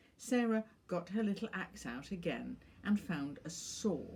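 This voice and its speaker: This woman has a dark, mellow tone that is somewhat breathy. She talks at a fairly slow pace with lively intonation. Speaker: author and professor. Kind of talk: reading of her own short stories.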